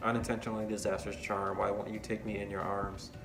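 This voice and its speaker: Fairly low male voice, monotone and flat, at a very fast pace over music in the background. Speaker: college student. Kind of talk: poetry reading.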